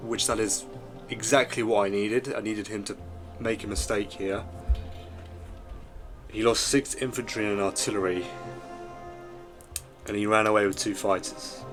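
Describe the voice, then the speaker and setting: Music can be heard in the background. Over it, a man talks at a fairly low pitch. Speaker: strategy game commentator. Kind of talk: gameplay commentary.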